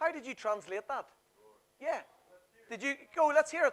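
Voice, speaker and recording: In a Northern Irish accent, the speaker keeps a moderate pace and an animated tone. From Northern Ireland. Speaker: workshop presenter. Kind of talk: seminar presentation.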